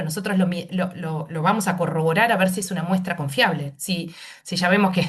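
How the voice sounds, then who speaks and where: A woman's somewhat breathy, medium-pitched voice at a fairly quick pace, with audible room echo. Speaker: pediatric nephrologist. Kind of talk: medical panel discussion. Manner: fast.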